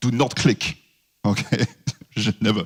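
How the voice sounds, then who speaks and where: With a French accent, a man is talking. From France. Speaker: security consultant. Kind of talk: conference presentation.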